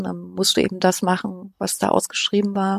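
Recorded very cleanly against a silent background, a woman's voice sounds dry and close with no echo. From Thuringia, eastern Germany (Weimar). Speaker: podcast researcher. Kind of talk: casual interview. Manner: hesitant, many fillers.

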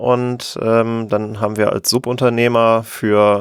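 The speaker has a plain, everyday voice. Intonation stays fairly even. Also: man. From western Germany, near Cologne. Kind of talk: casual interview. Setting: remote call.

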